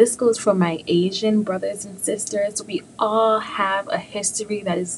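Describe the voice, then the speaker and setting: Upbeat and animated, a woman with an American accent speaks at a fairly slow pace and medium pitch over noticeable background noise. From New York City. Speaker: podcast host. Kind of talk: casual motivational monologue. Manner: upbeat, animated.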